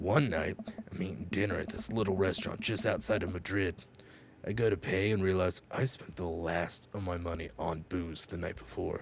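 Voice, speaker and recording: Over clear background noise, a man puts on a raspy character voice with a very deep, low pitch, delivering it deadpan at a moderate pace. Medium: game stream. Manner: gruff, deadpan.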